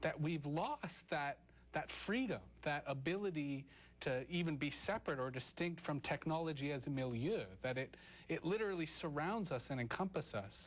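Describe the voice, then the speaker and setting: Fairly high for a man, his voice is a plain, everyday voice with lively intonation and very even loudness at a moderate pace. The recording is very clean, with a silent background. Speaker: talk show host. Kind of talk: interview questions.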